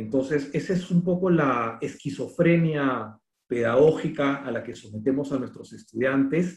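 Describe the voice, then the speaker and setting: Speaking very slowly, a man with a fairly high, somewhat breathy voice uses ordinary pitch variation. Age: 50s. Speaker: architect and university dean. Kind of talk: lecture.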